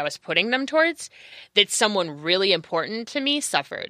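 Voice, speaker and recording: A woman's bright, sharp voice moves with lively intonation in a dry, close sound with no echo, on a very clean recording with a silent background. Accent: American. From California. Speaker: podcast guest. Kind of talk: casual chat. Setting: studio.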